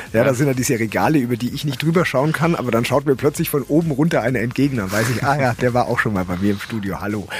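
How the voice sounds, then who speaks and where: A man speaks at a very fast pace with hardly any pauses. His pitch is medium with ordinary variation, and noticeable background noise is present. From Middle Franconia, Germany (Ansbach). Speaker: radio host. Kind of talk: casual interview.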